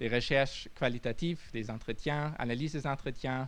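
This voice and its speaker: Audible room echo surrounds a man who speaks with ordinary pitch variation. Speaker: futurologist. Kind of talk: audience Q&A answer; lecture. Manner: halting.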